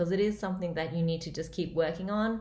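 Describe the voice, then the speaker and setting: An Australian accent at a fairly quick pace, with ordinary pitch variation and audible room echo. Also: woman. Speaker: comedian. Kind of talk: casual vlog update.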